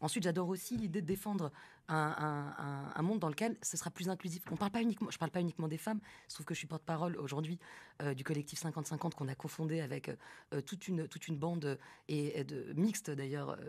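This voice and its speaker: Speaking at a very fast pace, a woman uses a very deep, low pitch with ordinary variation. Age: 30s. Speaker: film director; guest. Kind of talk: live radio interview. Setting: live broadcast from the festival venue. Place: studio. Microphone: studio mic.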